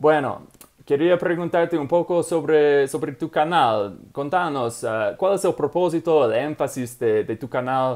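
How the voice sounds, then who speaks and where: With an English accent, a man speaks very slowly at fairly high pitch, his intonation lively. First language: English (speaking Spanish). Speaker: language learning channel host. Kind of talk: interview. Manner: halting.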